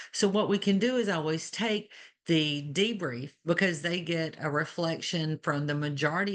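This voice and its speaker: With an Alabama accent, a woman talks at a fairly low pitch with ordinary pitch variation. The background is quiet. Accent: Alabama Southern. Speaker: nursing educator. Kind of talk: webinar panel discussion.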